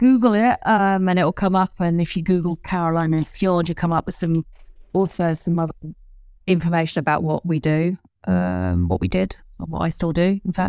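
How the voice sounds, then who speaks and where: Speaking in an English accent, a woman has a fairly low pitch, a dark, mellow tone, fairly even intonation and a moderate pace. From England. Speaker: ski patroller and children's author. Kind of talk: interview. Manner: halting, many fillers.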